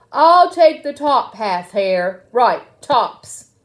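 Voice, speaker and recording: A woman uses a put-on character voice at a high pitch. She speaks at a very slow pace. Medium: read story. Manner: slow, grumbling.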